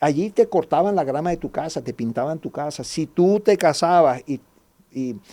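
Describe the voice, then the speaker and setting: A man with a fairly high pitch and a dark, mellow tone speaks at a moderate pace with lively intonation on a very clean recording with a silent background. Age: 60s. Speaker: guest speaker on history. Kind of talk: podcast interview.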